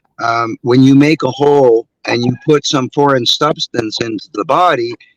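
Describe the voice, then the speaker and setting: A plain, everyday voice at a moderate pace, dry and close with no echo. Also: man, medium pitch for a man, fairly even intonation. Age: 60s. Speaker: martial arts instructor. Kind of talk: interview.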